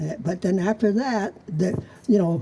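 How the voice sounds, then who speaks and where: Over noticeable background noise, a man speaks at a moderate pace, his pitch varying in an ordinary way. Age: 90s. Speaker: local history speaker. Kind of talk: storytelling talk. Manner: halting.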